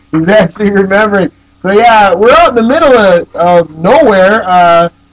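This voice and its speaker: This man has a high-pitched voice and lively intonation. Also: moderate pace, very even loudness. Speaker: internet broadcast host. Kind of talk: live broadcast banter. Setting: house party, morning broadcast. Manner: excited, fired up.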